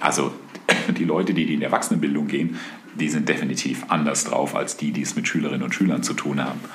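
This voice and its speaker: Very fast speech from a man amid noticeable background noise and audible room echo. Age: 50s. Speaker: podcast co-host, father of co-host. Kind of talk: casual conversation. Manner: halting, many fillers.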